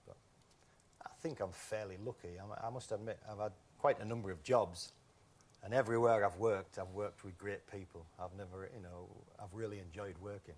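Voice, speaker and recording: A man talks at a fairly quick pace with a Yorkshire accent. His pitch is fairly low and his intonation fairly even. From northern England, Whitby, North Yorkshire. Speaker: game show contestant. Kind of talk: casual chat.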